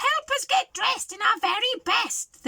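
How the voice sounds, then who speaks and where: In a squeaky, put-on character voice, a woman talks at an extremely high pitch and a moderate pace, in dry, close sound with no echo. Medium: read story. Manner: bossy, squawking.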